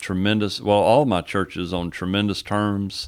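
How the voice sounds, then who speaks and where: Here a man speaks with a Texan accent. The recording is very clean, with a silent background. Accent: Texan Southern American. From East Texas (Henderson). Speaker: pastor. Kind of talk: casual interview.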